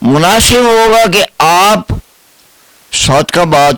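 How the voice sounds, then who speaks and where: Noticeable background noise accompanies a man recorded with a dry, close sound and no echo. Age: 80s+. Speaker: pensioner activist. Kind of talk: interview.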